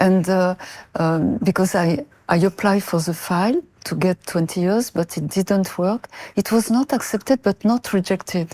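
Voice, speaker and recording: A woman with a French accent speaks at a moderate pace, medium in pitch and with ordinary pitch variation. The very clean recording has a silent background and a dry, close sound with no echo. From France (Marseille). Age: 70s. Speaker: mother of a prisoner, interview guest. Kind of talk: interview. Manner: halting.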